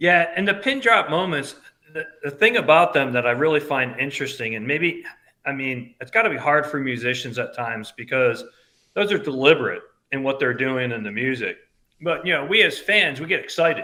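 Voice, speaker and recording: A man with an American accent, lively in intonation, at a fairly quick pace. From upstate New York, Albany. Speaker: band fan. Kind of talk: casual chat. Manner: loud.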